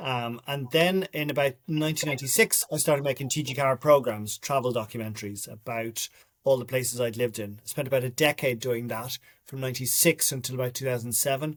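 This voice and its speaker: A man with a Dublin accent, medium pitch and ordinary pitch variation, at a very fast pace. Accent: Dublin Irish. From Ireland, Dublin. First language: Irish. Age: 50s. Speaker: writer and documentary maker. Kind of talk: interview.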